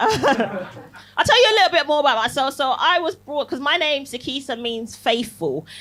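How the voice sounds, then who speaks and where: A woman talks at a moderate pace with hardly any pauses. Noticeable background noise sits behind her. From Barbados. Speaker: comedian. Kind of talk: stand-up. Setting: stage with audience. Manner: animated.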